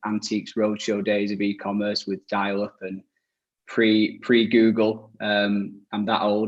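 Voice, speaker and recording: A man speaks in a fairly low voice. His intonation stays flat and monotone. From northern England, Leeds. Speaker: e-commerce agency director. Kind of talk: webinar panel discussion.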